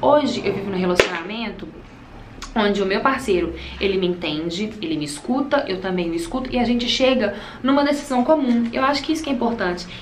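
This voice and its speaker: Amid noticeable background noise and audible room echo, a woman speaks at a fairly quick pace, fairly high in pitch with very wide pitch swings. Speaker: beauty vlogger. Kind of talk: casual chat while doing makeup. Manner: fast.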